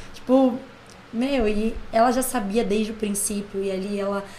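Audible room echo surrounds a woman's somewhat breathy, fairly high voice, which moves at a moderate pace with ordinary pitch variation. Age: 20s. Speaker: church music and dance minister. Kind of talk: casual chat.

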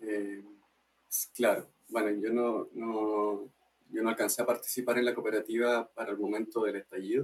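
At a moderate pace, a man talks with medium pitch and monotone, flat intonation. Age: 20s. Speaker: arts cooperative member. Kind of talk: casual interview.

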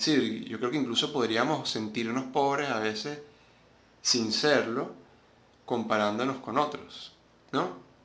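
Long, frequent pauses break up a man's fairly slow speech, pitched at a medium level. Noticeable background noise and audible room echo fill the recording. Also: fairly even intonation. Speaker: podcast host. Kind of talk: solo monologue commentary.

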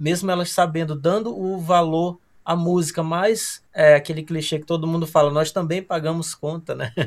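A man speaks in a high voice at a moderate pace, with fairly even intonation and hardly any pauses. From Amazonas, northern Brazil. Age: 30s. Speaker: musician, cellist. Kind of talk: casual podcast interview.

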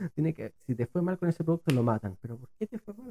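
Using a Chilean accent, a man with a fairly high pitch and a dark, mellow tone speaks with lively intonation in a dry, close sound with no echo. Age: 20s. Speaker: entrepreneur. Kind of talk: podcast interview.

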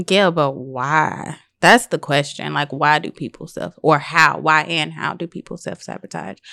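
In a very clean, dry, close recording with a silent background and no echo, a woman with a very deep, low pitch, vocal fry and a bright, sharp tone speaks at a fairly slow pace with hardly any pauses and ordinary pitch variation. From US Midwest, St. Louis, Missouri. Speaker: behavior analyst in training. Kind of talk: casual chat.

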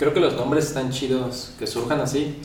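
A man at a medium pitch and moderate pace, with audible room echo and noticeable background noise. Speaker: podcast host. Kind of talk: casual interview. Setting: home studio, filmed.

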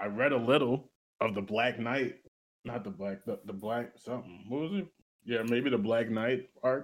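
This man has an unremarkable speaking voice with a medium pitch and an American accent. He talks at a moderate pace with ordinary pitch variation. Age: 20s. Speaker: podcast co-host. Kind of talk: casual chat.

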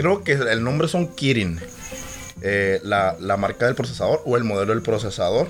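There is music in the background. A man with a medium pitch speaks with lively intonation. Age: 20s. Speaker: podcast co-host. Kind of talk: casual chat. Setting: studio.

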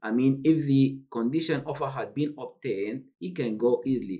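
A man with a Sudanese accent, medium pitch, lively intonation and a fairly slow pace. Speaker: refugee support worker. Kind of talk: panel discussion.

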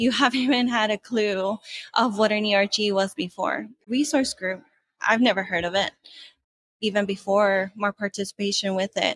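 A woman with an American accent speaks at a moderate pace and medium pitch with ordinary pitch variation, an unremarkable speaking voice in a dry, close sound with no echo. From California, Mexican heritage. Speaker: corporate employee and employee group leader. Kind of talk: interview.

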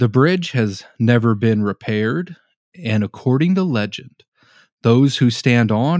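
On a very clean recording with a silent background and a dry, close sound with no echo, a man with an American accent and a normal speaking voice speaks at a fairly slow pace with lively intonation. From Norman, Oklahoma. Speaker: paranormal podcaster. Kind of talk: storytelling read from notes.

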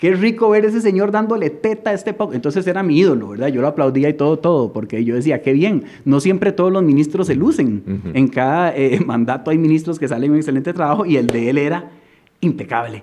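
In a Costa Rican accent, a man speaks at a very fast pace, his fairly high pitch making very wide swings. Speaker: surfer and artist. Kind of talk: casual chat.

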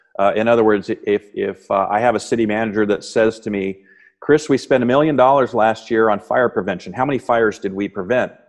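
Ordinary pitch variation at a fairly quick pace over a quiet background. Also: man, medium pitch for a man. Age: 50s. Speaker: fire chief. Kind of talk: interview. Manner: halting.

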